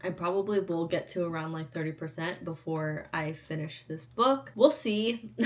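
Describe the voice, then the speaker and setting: Lively intonation marks a woman's speech, with noticeable background noise around it. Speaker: book vlogger. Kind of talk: casual vlog talk. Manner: casual, filler-heavy.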